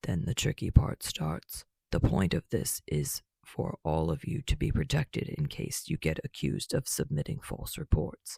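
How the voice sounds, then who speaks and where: Putting on a gruff character voice, a man speaks at a moderate pace in a very deep, low pitch with very wide pitch swings. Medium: read story. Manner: blunt, gruff.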